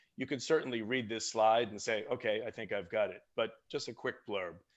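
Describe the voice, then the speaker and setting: A man is speaking in a Boston accent. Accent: American, Boston area. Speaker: software product marketing lead. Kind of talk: webinar product presentation.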